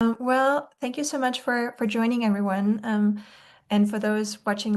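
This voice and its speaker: Speaking in an Austrian accent, a woman with a fairly high pitch keeps her intonation fairly even against a quiet background. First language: German. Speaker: nutrition expert. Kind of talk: webinar presentation. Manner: many filler words (um, like).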